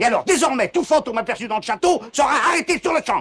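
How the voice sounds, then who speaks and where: A man uses a put-on character voice at an extremely high pitch. It is shrill and delivered at a very fast pace. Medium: short film. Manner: explosive, fast, shrill outbursts.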